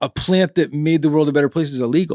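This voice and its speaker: This man uses a normal speaking voice, fairly high for a man, at a moderate pace with ordinary pitch variation and a dry, close sound with no echo. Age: 40s. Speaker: podcast host. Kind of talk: casual interview chat.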